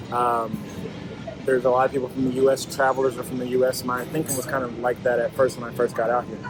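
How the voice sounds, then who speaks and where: This man talks at a very fast pace in a medium pitch, his intonation monotone and flat. Noticeable background noise sits behind him. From United States. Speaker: expat interviewee. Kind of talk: interview. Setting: restaurant lunch.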